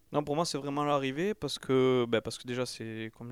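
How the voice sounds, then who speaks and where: A man's plain, everyday voice, medium in pitch with ordinary pitch variation, on a very clean recording with a silent background. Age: 30s. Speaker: ultra-trail runner and gardener. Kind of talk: interview. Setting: recorded in Toulouse.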